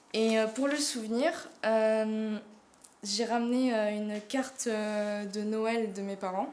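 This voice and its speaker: A woman's fairly high voice, fairly even in intonation, with audible room echo. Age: 20s. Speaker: drama student. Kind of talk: casting self-presentation. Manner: hesitant, many fillers.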